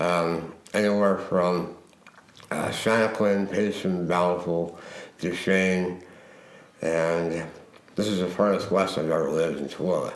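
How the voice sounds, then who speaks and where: In an American accent, the speaker talks fairly slowly in a monotone, flat way with long, frequent pauses, amid audible room echo and noticeable background noise. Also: man, very deep, low pitch for a man. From Utah. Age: 50s. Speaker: suicide attempt survivor. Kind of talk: testimony. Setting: recording in a model home. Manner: halting.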